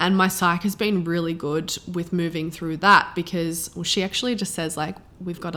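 Noticeable background noise accompanies a woman with an Australian accent. Her intonation stays fairly even. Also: hardly any pauses. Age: 20s. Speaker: podcast host and coach. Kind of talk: solo podcast monologue. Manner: casual, chatty.

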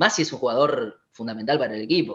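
Speaking very fast, a man lets his pitch leap up and down very widely. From Argentina, Buenos Aires western suburbs. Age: 20s. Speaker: physiotherapist. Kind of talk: interview.

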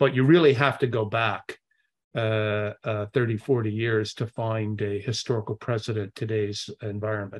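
A man speaks at a moderate pace in a fairly low pitch. His intonation is fairly even, and the background is quiet. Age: 60s. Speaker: investment executive. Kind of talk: interview. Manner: halting.

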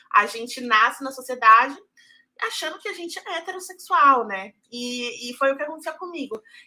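Raising and projecting her voice, a woman with a high pitch and a bright, sharp tone speaks with lively intonation and big swings in loudness. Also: moderate pace. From Brazil, Salvador (Bahia). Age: 20s. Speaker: journalist. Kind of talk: casual chat.

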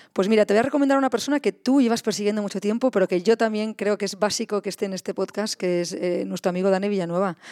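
At a very fast pace with hardly any pauses, this voice has a dark, mellow tone and ordinary pitch variation, captured as a very clean recording with a silent background and a dry, close sound with no echo. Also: woman, medium pitch for a woman. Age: 40s. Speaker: founder of a creative podcast studio. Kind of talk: interview conversation. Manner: halting, many repetitions.

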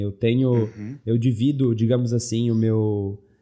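Against a quiet background, a man speaks in a dark, mellow tone at a fairly slow pace. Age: 20s. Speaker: card game content creator on YouTube and Twitch. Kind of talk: casual interview chat.

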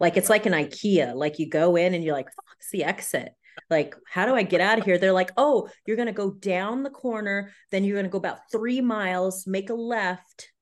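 In a Californian accent, a woman with an animated tone talks at medium pitch with ordinary pitch variation, big swings in loudness and hardly any pauses. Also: moderate pace. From US West Coast, San Diego, California. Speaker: actress. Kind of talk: casual interview.

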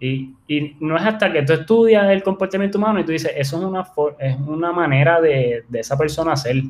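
Talking at a fairly quick pace, a man uses a normal speaking voice, his pitch varying in an ordinary way. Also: fairly high pitch for a man. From Puerto Rico, Ponce. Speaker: entrepreneur and writer. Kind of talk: interview.

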